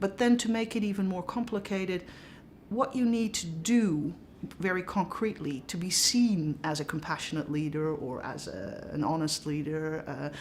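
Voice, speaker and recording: A woman with a Dutch accent speaks at a moderate pace. Her pitch is fairly low and her intonation lively. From Netherlands. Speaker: professor. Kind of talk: interview.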